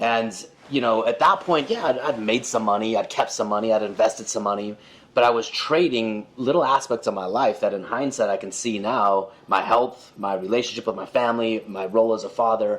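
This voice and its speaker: A man talks in a normal speaking voice at a medium pitch. His pitch variation is ordinary. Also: fairly quick pace. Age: 40s. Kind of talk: casual chat.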